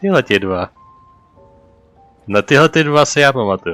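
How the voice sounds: Faint music plays in the background as a man speaks at a moderate pace. His voice is medium in pitch, fairly bright in tone, with lively intonation.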